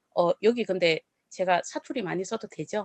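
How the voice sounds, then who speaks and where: A woman speaks with a Gyeongsang accent at a medium pitch and an animated tone. The sound is dry and close, with no echo. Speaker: network marketing speaker. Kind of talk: business presentation.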